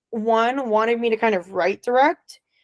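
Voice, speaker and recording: A woman's unremarkable speaking voice with an American accent, at a moderate pace, in dry, close sound with no echo. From Florida. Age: young. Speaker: filmmaker. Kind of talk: interview.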